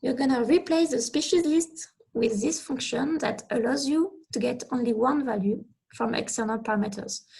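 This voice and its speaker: With a French accent, a woman talks at a moderate pace in a high voice with a dark, mellow tone and lively intonation. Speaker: researcher presenting computing tutorial. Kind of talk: technical presentation.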